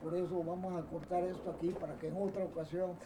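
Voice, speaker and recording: Noticeable background noise sits behind a man's high voice. His intonation is monotone and flat. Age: 70s. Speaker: doctor, surgeon. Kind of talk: autobiographical recollection. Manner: halting, with many repetitions.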